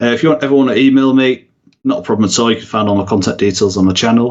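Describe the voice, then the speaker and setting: A man talks with a northern English accent. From northern England. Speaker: YouTube content creator. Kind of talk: podcast interview.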